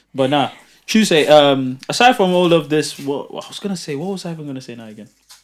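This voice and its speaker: With a London accent, a man talks at a very fast pace and a fairly high pitch. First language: not English. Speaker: podcast host. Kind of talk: casual chat.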